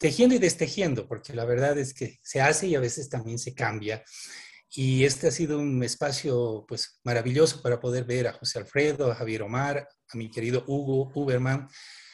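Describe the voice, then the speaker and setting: Against a quiet background, a man with medium pitch and a somewhat breathy voice speaks at a moderate pace with fairly even intonation. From Bolivia. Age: 50s. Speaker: development worker, anthropologist. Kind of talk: online panel presentation.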